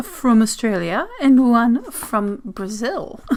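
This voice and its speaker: A woman speaks with a high pitch and ordinary pitch variation. Noticeable background noise can be heard. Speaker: zine reviewer and vlogger. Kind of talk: casual mail-opening vlog. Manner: halting, flustered.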